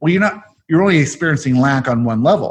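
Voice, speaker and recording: Lively intonation marks this man's somewhat breathy, fairly high-pitched voice. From South Africa. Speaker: podcast host and channeler. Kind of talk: casual chat. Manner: fast.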